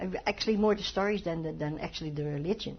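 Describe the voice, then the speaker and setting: Noticeable background noise accompanies a woman whose voice is fairly low in pitch. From Netherlands, Amsterdam. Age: 70s. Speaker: Holocaust survivor. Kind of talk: oral history interview. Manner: halting.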